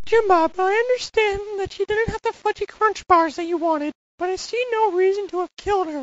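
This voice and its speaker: A cartoonish character voice at an extremely high pitch. The pace is fairly quick. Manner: cocky, conniving, bossy.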